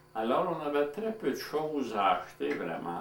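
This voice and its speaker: This man's voice carries an audible room echo. Noticeable background noise runs underneath. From Manitoba, Franco-Manitoban (La Broquerie). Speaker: elderly community member, former farmer. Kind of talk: oral history interview.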